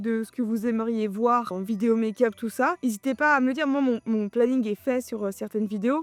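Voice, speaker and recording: Delivered at a fairly quick pace, the speech has ordinary pitch variation and a dry, close sound with no echo. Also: woman. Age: 20s. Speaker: beauty youtuber. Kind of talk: makeup tutorial chat. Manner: fast; animated.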